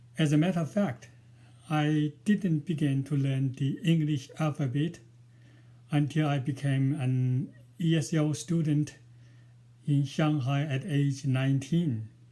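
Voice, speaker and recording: A man's fairly high, dark, mellow, somewhat breathy voice in a strong Chinese accent, at a fairly slow pace with long, frequent pauses and very even loudness. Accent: Chinese, strong village. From rural China. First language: Mandarin. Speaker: novelist and poet. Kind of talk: prepared talk to camera. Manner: halting, many fillers.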